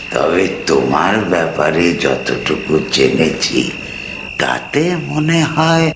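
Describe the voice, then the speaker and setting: Amid loud background noise, a man uses a put-on character voice and speaks at a very slow pace. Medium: audio drama. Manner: wry, measured, teasing.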